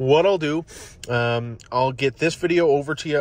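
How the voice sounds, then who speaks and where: With fairly even intonation, a man talks in a dry sound with no echo. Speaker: car salesperson. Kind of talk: casual product walkaround for a customer. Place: car.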